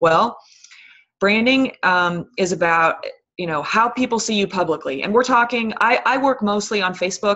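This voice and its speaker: Moderately paced female speech in a plain, everyday voice, pitched in the middle range with ordinary pitch variation. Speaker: fitness coach. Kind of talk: team conference call talk. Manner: filler-heavy, um and you know.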